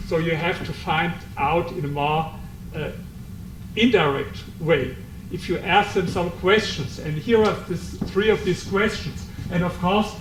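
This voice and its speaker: With a German accent, a man speaks at a fairly slow pace and a high pitch, with ordinary pitch variation and long, frequent pauses, amid noticeable background noise and audible room echo. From Germany. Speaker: author. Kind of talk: book presentation talk. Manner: halting.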